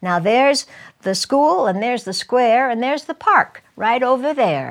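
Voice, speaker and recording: At a fairly slow pace, a woman speaks in an animated tone with very wide pitch swings. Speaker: storyteller. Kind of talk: storytelling in rhyming verse, performed aloud. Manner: sing-song rhythmic, animated, expressive.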